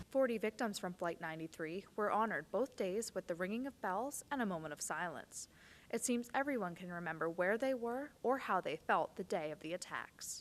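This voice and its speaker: A woman's normal speaking voice, fairly quick and with lively intonation. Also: medium pitch for a woman. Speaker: TV news reporter. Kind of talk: TV news package narration. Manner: solemn.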